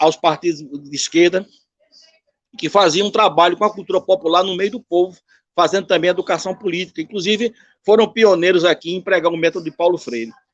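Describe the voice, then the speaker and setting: A man speaks at a high pitch and a fairly quick pace, with ordinary pitch variation. The sound is dry and close, with no echo. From Brazil, Northeast (Recife, Pernambuco). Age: 60s. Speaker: musician and cordel poet. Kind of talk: interview.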